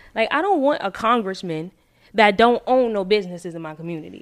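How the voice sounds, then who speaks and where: A woman with a normal speaking voice, talking at a fairly quick pace with lively intonation. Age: 20s. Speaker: hairstylist and salon owner. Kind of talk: casual chat.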